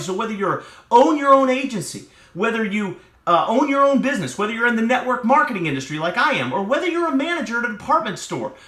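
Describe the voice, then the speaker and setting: A man's raised, projected, animated voice, bright and sharp in tone, at an extremely high pitch with very wide pitch swings, a very fast pace and audible room echo. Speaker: motivational speaker. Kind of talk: motivational talk.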